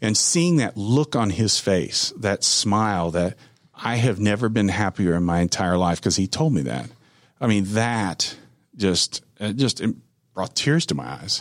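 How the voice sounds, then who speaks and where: On a very clean recording with a silent background, a man speaks fairly low and fairly slowly, his intonation lively. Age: 50s. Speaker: sawmill owner, former business owner. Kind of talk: interview. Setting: studio.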